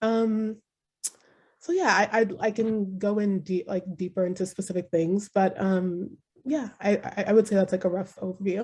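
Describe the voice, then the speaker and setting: A woman's somewhat breathy voice moves at a moderate speed, her intonation fairly even. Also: medium pitch for a woman. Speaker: panelist. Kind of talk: panel discussion. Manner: halting.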